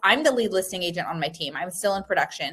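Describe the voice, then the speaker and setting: Her pitch shifts with ordinary variation. The speaker is a woman. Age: 40s. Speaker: real estate agent and trainer. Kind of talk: live webinar training. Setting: live online webinar. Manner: fast; animated.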